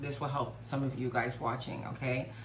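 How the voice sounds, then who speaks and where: There is audible room echo and noticeable background noise as a woman with a very deep, low pitch talks at a moderate pace. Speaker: spiritual YouTuber. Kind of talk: personal vlog testimony.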